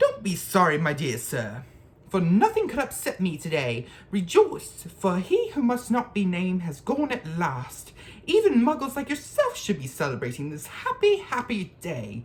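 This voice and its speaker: Someone uses a put-on character voice that sounds squeaky at a middle pitch. The pace is moderate. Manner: cheerful, delighted.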